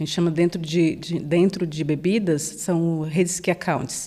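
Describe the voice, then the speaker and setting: This woman, with a northeastern Brazilian accent, has a dark, mellow tone and fairly even intonation. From Brazilian Northeast, Salvador (Bahia). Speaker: sales manager. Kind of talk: podcast interview.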